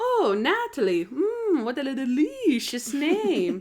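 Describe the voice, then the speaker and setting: Very wide pitch swings mark this put-on character voice, delivered at a very slow pace. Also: woman, high pitch for a woman. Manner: suave, seductive.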